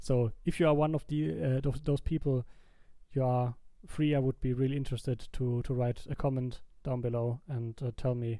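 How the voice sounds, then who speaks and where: Speaking at a moderate pace, a man with a non-native accent has a medium-pitched voice and a dark, mellow tone. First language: not English. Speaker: YouTuber, gaming video creator. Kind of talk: casual commentary over gameplay. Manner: halting, frequent fillers and restarts.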